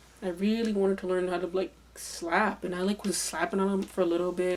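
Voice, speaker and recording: Noticeable background noise under a woman's fairly quick speech at a medium pitch. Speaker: bassist and music video creator. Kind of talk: casual chat. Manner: fast; casual, halting with self-corrections.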